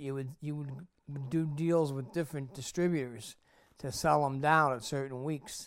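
A man with an American accent speaks at a moderate pace, his pitch fairly high and his intonation fairly even. The recording is very clean, with a silent background. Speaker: former video store owner. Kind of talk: casual interview. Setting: at home.

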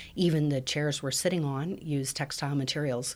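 Speaking in an American accent, a woman uses a very deep, low pitch with monotone, flat intonation at a moderate pace. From Colorado, US. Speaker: professor. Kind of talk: interview.

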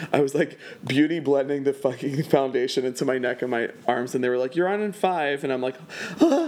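Noticeable background noise behind a man speaking fairly fast at a fairly high pitch. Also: ordinary pitch variation. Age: 30s. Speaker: event producer and burlesque performer. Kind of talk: casual interview chat. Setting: home.

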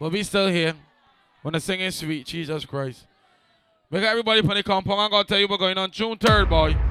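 With a raised, projected voice, a man speaks at a high pitch with ordinary pitch variation, leaving long, frequent pauses. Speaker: party host / dancehall MC. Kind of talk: live promo event with hype MC banter. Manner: animated, hyped up, boastful.

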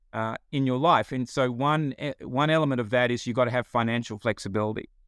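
With an Australian accent, this man keeps to a moderate pace. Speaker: financial behavior company founder.

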